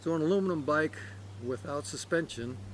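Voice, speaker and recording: A man with an American accent speaks at a fairly high pitch in a somewhat breathy voice. His pitch swings very widely. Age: 50s. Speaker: cycling vlogger. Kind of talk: product review. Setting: outdoors. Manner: halting, many fillers.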